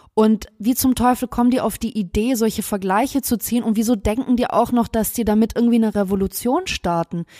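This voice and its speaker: Dark, mellow tone at a fairly quick pace, with very even loudness, ordinary pitch variation and a dry, close sound with no echo. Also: woman, fairly high pitch for a woman. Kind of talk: casual chat. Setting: home recording, sitting close together. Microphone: very close to the mic.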